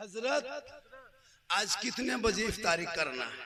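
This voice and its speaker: This man speaks at an extremely high pitch. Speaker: Islamic preacher / maulana. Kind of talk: humorous religious sermon to a gathering. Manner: animated, jokey, scolding, conversational.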